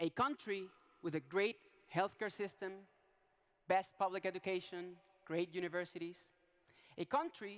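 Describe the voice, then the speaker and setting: The sound is dry and close, with no echo. A man speaks at a high pitch and a moderate pace. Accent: Venezuelan. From Venezuela. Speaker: politician. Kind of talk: public talk. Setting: stage with audience.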